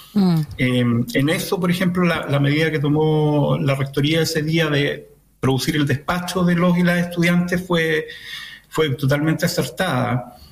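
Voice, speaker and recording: Using an ordinary speaking voice, a man talks at a fairly slow pace with a fairly high pitch and fairly even intonation. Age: 50s. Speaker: municipal education official. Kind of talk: radio interview.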